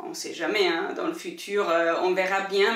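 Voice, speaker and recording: Noticeable background noise and audible room echo surround this recording. A woman speaks at a fairly slow pace with a medium pitch and ordinary pitch variation. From Italy. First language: Italian (speaking French). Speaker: book YouTuber. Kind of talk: casual Q&A monologue to camera. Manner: hesitant, many fillers.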